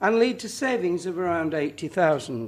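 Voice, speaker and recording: Speaking at a moderate pace with a northern English accent, a man uses a high voice with very wide pitch swings. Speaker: councillor presenting budget. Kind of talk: formal budget speech. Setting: council chamber meeting. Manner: formal.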